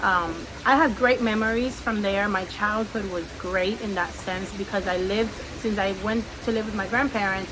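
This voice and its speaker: A woman talks at a medium pitch. Her voice has audible room echo and noticeable background noise. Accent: Spanish. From Cuba. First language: Spanish. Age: 30s. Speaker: podcaster. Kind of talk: personal testimony. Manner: relaxed, conversational.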